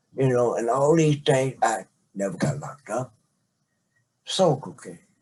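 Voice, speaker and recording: A man speaks at a moderate pace with a medium pitch. His dark, mellow tone is somewhat breathy. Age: 60s. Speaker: father telling his life story. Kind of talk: interview, life story. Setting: podcast recording, seated conversation.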